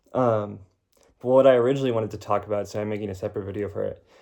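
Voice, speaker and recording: Very fast and monotone, a man delivers his words with flat intonation and a fairly low pitch. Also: quiet background. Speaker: video blogger. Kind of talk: casual vlog monologue. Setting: sitting on floor doing laundry. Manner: casual, many fillers.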